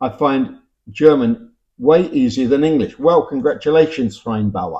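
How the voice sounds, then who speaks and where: With a Cockney accent, a man speaks at a moderate pace. His voice is fairly high and his intonation lively. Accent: Cockney London English. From London (Cockney). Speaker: YouTuber commenting on language. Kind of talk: casual talk reading viewer comments. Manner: hesitant, conversational with fillers.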